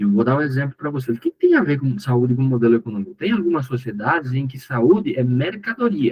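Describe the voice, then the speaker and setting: With lively intonation and a somewhat breathy voice, a man talks at a fairly quick clip. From Paraguay. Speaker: course instructor. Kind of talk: lecture.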